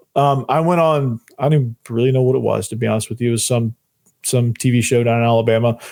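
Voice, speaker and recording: A man at medium pitch, talking at a very fast pace. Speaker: sports podcast host. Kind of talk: sports analysis podcast. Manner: animated.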